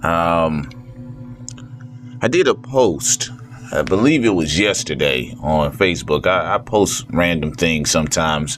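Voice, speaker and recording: In an American accent, this speaker talks at a fairly slow pace with lively intonation, very even loudness and long, frequent pauses, against noticeable background noise. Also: man, very deep, low pitch for a man. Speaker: vlogger. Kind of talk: casual monologue.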